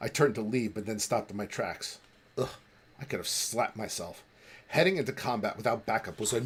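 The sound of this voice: An unforced reading voice moves through ordinary shifts in pitch.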